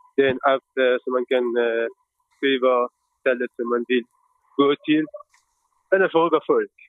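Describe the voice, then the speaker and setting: The man's medium-pitched delivery is fairly slow, with fairly even intonation and long, frequent pauses. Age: 30s. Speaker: board election candidate. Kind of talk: interview. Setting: on a train. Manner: hesitant.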